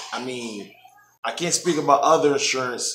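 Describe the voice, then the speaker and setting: A man talks at a moderate pace with a fairly high pitch. Audible room echo and light background noise are present. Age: 30s. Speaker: vlogger preparing for weight loss surgery. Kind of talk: casual vlog update. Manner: hesitant, many filler ums. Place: home room.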